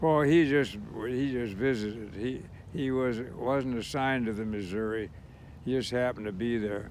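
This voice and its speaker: Heard with audible room echo, the voice moves at a moderate pace with ordinary pitch variation. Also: man, medium pitch for a man. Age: 90s. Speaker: war veteran. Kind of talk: casual chat.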